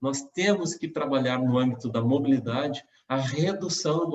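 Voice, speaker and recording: A man with a normal speaking voice and a fairly high pitch shows ordinary pitch variation. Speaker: mayoral candidate. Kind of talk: campaign presentation.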